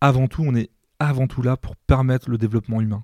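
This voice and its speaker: A man's dark, mellow voice at a medium pitch and moderate pace, fairly even in intonation, on a very clean recording with a silent background and a dry, close sound with no echo. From France, Mayenne. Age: 40s. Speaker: nursing home director. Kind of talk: podcast interview. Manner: hesitant, many fillers.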